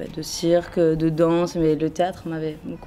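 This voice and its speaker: Her fairly low voice stays monotone and flat throughout as this woman speaks. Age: 20s. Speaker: actress. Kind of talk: interview. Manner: halting, many fillers.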